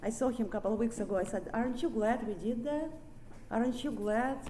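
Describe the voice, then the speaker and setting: With audible room echo, a woman speaks in a Russian accent at a fairly high pitch. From Ukraine. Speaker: recovery speaker. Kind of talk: recovery meeting talk. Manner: halting.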